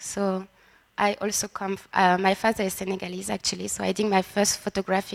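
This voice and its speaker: In a dry, close sound with no echo, a woman speaks in a monotone, flat way with a strong French accent. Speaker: photographer. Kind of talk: panel presentation. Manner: halting, searching for words.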